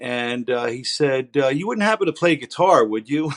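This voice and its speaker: A man with a plain, everyday voice speaks at medium pitch and a moderate pace, the sound dry and close with no echo. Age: 60s. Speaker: rock guitarist. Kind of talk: interview. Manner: casual, with frequent fillers.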